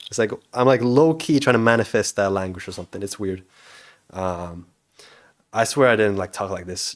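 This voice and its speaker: A man with a fairly low voice talks fairly quickly, his pitch varying in an ordinary way. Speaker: indie game developer streamer. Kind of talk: livestream chat. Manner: fast; loud. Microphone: not very good microphone.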